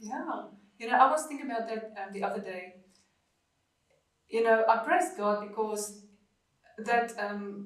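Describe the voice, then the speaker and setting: Audible room echo surrounds a woman with a fairly high pitch and ordinary pitch variation. She speaks at a fairly slow pace with long, frequent pauses, and her loudness swings a lot. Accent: South African. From South Africa, Afrikaans family. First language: Afrikaans. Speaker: podcast guest sharing life story. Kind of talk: interview testimony. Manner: halting, many fillers.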